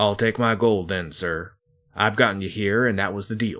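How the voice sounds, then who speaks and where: In a put-on character voice, a man sounds raspy at a fairly low pitch. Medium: read story. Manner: blunt, businesslike.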